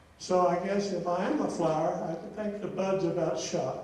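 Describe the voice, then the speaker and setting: Speaking at a fairly slow pace with an American accent, a man with a high voice keeps his intonation fairly even amid audible room echo and noticeable background noise. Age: 80s+. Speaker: hall of fame inductee, retired teacher. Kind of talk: acceptance speech.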